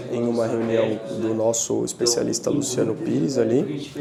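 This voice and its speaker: Noticeable background noise and audible room echo around a man speaking. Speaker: marketing agency owner. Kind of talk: vlog, business talk. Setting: office with meetings going on. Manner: soft-spoken, quiet to not disturb meeting.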